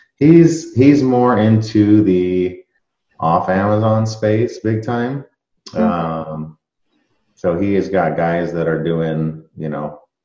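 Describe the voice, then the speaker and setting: A man speaks very slowly in a dark, mellow tone with fairly low pitch. The background is quiet, though there is audible room echo. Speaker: interview guest. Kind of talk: interview answer. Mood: relaxed conversational. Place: home room. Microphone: video call.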